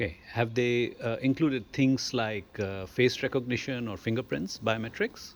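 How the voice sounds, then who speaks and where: A man with a normal speaking voice talks at a medium pitch and moderate pace, with ordinary pitch variation and hardly any pauses. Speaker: surgeon, interviewer. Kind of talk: interview questions.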